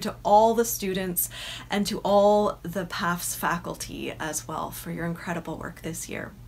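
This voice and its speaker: A woman talks at a fairly slow pace with vocal fry. Her intonation stays fairly even, and there is light background noise. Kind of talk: welcome address. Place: home room. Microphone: phone near.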